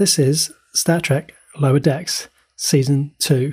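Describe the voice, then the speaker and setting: Recorded very cleanly against a silent background, a man with a fairly high, somewhat breathy voice and a dark, mellow tone speaks very slowly with ordinary pitch variation. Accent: New Zealand. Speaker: podcast co-host. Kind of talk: casual chat.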